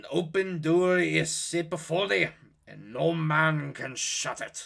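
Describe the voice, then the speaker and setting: A man talks at a fairly slow pace. He uses a put-on character voice with a fairly high pitch. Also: big swings in loudness. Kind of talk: archaic scriptural speech. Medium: read story. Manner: solemn, measured.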